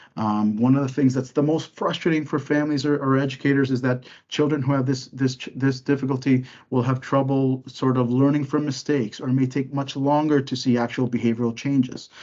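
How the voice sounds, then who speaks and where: With a dark, mellow tone, a man speaks at medium pitch in a monotone, flat intonation, hardly pausing at all. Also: fairly quick pace. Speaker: psychologist giving a parenting webinar. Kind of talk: webinar lecture. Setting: online webinar. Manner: fast.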